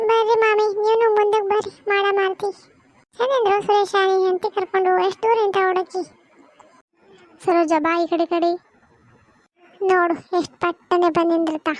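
Putting on a cartoonish character voice, a woman speaks in an extremely high pitch with fairly even intonation at a fairly slow pace. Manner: chatty, meddling.

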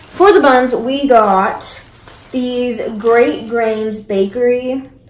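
A woman speaks with ordinary pitch variation. There is noticeable background noise. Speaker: vlogger. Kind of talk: casual vlog chat. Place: kitchen. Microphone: phone near.

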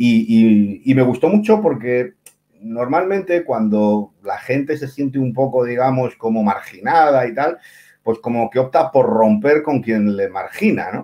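Intonation rises and falls in a lively way. The delivery moves at a fairly slow pace. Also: man. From Cantabria, Spain (Santander); Cantabria, Spain. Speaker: writer, columnist. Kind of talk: casual interview. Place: home room. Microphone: video call.

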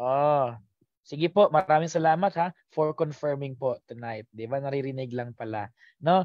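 In a dry sound with no echo and a quiet background, a man speaks with ordinary pitch variation. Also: fairly high pitch for a man, moderate pace. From Philippines. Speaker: teacher; exam review coach. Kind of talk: live online review lecture; online lecture. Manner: animated. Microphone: headset.

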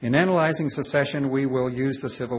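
A man's voice sounds somewhat breathy. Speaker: law professor. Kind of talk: lecture. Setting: stage with audience. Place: hall.

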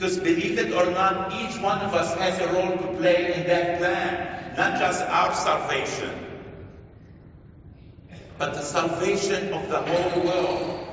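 A man's high, fairly bright voice at a fairly slow pace, with fairly even intonation and strong room echo.

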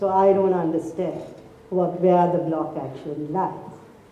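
A woman speaks at a fairly low pitch in a monotone, flat delivery. Audible room echo surrounds her voice. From Sri Lanka. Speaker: lawyer; speaker. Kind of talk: formal speech; public talk. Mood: earnest, questioning. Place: hall. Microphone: podium.

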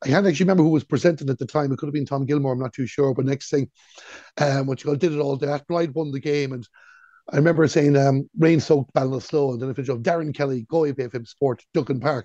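With an Irish accent, a man speaks very fast at a fairly high pitch, his tone dark and mellow and his intonation fairly even, the sound dry with no echo over a quiet background. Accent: Irish (Galway). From Ireland. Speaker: sports radio commentator; radio sports commentator guest. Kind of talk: casual chat. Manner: calm. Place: home room. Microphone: earbuds.

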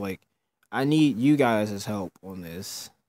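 A man mumbles quietly at a fairly slow pace. The recording is very clean and dry, with a close sound, no echo and a silent background. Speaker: gaming YouTuber. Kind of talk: casual gameplay commentary.

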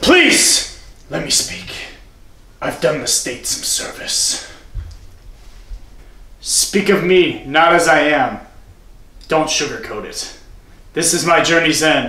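Long, frequent pauses break up a dramatic tone delivered at a fairly slow pace with slight echo. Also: man, high pitch for a man. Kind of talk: student parody acting. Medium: comedy sketch. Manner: dramatic, then flatly comic.

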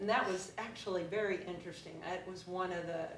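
At a moderate pace, a woman with a fairly low pitch speaks in a monotone, flat intonation against noticeable background noise. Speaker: fitness instructor giving a talk. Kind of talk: presentation to a live audience. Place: meeting room. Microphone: camera far.

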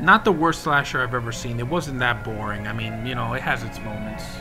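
Music plays clearly in the background. Over it, a man talks. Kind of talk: casual vlog chat. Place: home room. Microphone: webcam.

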